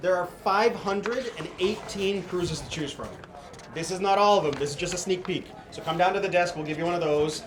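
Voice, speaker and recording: A man's high-pitched voice at a fairly quick pace, fairly even in intonation, with noticeable background noise and audible room echo. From Canada, Ottawa. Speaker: cruise sales manager. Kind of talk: casual chat. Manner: fast.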